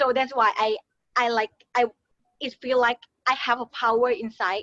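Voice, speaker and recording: In a Thai accent, a high-pitched woman with a bright, sharp tone speaks at a fairly slow pace with fairly even intonation, the sound dry and close with no echo. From Thailand. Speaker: beauty pageant winner. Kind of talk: motivational talk. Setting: webinar. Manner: halting.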